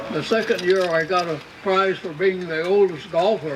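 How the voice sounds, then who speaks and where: Noticeable background noise behind a man's high voice, moderate pace and ordinary pitch variation. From Washington State, USA. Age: 80s+. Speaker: retired Air Force lieutenant general. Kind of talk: birthday celebration speech.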